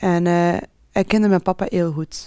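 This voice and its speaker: Speech comes at a fairly slow pace. Its tone is dark and mellow. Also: woman. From Flanders, Belgium, Moroccan family. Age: 40s. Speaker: pharma sales rep. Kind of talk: personal testimony interview.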